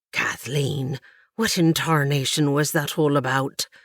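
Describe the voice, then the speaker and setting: A put-on character voice with a low-to-middle pitch hisses along at a fairly slow pace on a very clean recording with a silent background. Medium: read story. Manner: hissing, tight-lipped.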